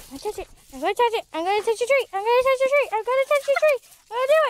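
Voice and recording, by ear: A woman talks at a very fast pace with an extremely high pitch. Her intonation is lively.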